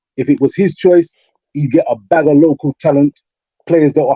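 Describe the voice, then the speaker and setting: A man with a fairly high voice and an English accent. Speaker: football pundit. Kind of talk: casual chat.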